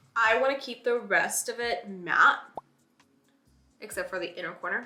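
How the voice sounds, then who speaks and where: Music in the background accompanies a woman talking at a moderate pace. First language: not English. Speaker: beauty vlogger. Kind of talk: makeup tutorial. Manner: casual, chatty.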